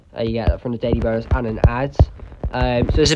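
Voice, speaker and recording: Noise is noticeable in the background. The voice's pitch moves in an ordinary way. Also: man. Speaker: mobile game YouTuber. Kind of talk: gameplay tutorial commentary. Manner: hesitant, many fillers.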